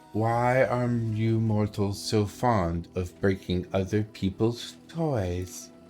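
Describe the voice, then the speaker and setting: A man does a put-on character voice, breathy and fairly low in pitch. He speaks at a very slow pace over clear music in the background. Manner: dryly curious, faintly scolding.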